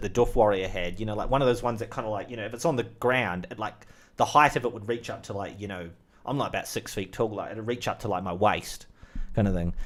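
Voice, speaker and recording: A man with a New Zealand accent at a very fast pace and medium pitch, ordinary pitch variation, on a very clean recording with a silent background. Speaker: channel host, movie talk. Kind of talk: casual solo chat. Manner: rambling with many fillers.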